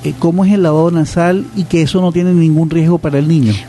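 Music plays behind a high-pitched man talking at a fairly quick pace. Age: 60s. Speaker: radio host and pediatrician. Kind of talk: radio interview.

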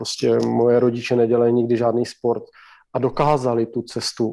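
Delivered at a fairly slow pace, this speech carries a dark, mellow tone. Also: man. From Slovakia. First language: Slovak (speaking Czech). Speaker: former ice hockey player, player agent. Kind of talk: interview.

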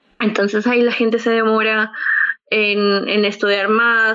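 The voice carries a Peruvian accent and monotone, flat intonation. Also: woman. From Peru, Lima. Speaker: podcast co-host. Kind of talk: casual chat.

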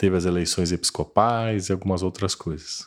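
The speaker is a man with a very deep, low pitch. His pace is moderate. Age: 50s. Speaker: church lay leader. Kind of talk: casual interview.

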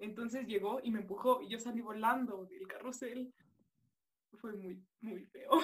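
Fairly high in pitch with ordinary pitch variation, a woman speaks with a Mexican accent. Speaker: student. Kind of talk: casual chat. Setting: video call.

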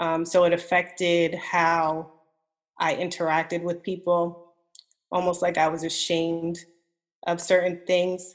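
Monotone and flat, a woman talks at a fairly slow pace with long, frequent pauses. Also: fairly low pitch for a woman. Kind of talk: casual chat.

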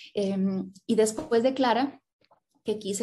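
A dark, mellow, somewhat breathy tone at a fairly slow pace, with ordinary pitch variation. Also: woman. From Colombia (Cali). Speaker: writer and graphic designer. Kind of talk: interview.

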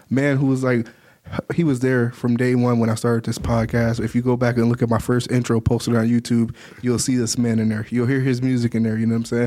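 With an American accent and a dark, mellow tone, a man speaks at a very fast pace and medium pitch in a monotone, flat intonation. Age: 20s. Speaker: podcast host. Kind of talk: casual interview.

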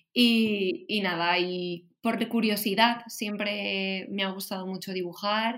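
With a Valencian accent, a woman speaks at a very slow pace and medium pitch with hardly any pauses. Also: fairly even intonation. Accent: Valencian Spanish (Spain). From Valencia, Spain. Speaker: illustrator and designer. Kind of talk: casual chat.

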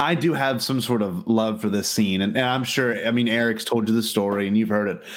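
A man's medium-pitched voice at a fairly quick pace, with ordinary pitch variation, very even loudness and audible room echo. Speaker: podcast host. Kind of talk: casual chat. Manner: animated.

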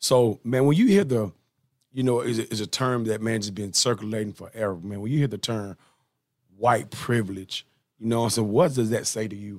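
A man with a Southern US accent talks with ordinary pitch variation. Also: medium pitch for a man, moderate pace. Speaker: podcast host. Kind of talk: casual interview chat. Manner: animated.

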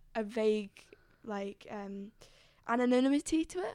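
A woman talks at a fairly high pitch in an unremarkable speaking voice. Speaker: student radio presenter. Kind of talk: casual chat.

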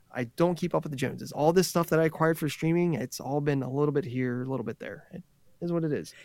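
Talking very fast, a man with a fairly high pitch uses ordinary pitch variation. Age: 40s. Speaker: podcaster and gamer. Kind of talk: casual chat.

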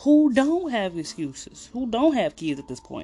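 A man's voice with very wide pitch swings at a moderate pace, music playing in the background. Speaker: podcast host. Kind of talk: casual improvised chat.

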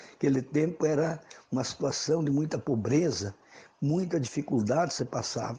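This man has a dark, mellow tone, a fairly high pitch, and a somewhat breathy sound. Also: ordinary pitch variation, moderate pace. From Brazil, western Santa Catarina (Xanxerê). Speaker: rural social movement leader. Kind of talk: radio interview. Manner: hesitant, repeats words.

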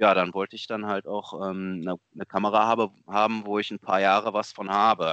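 The man speaks at a moderate pace with hardly any pauses, his fairly low voice flat and monotone. The sound is dry and close, with no echo. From Germany, Lower Rhine region. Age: 30s. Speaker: amateur photographer. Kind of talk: casual interview.

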